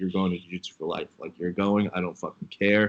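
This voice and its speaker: A man with a fairly low-pitched voice. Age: 30s. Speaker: co-host, former fighter and wrestler. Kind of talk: casual chat.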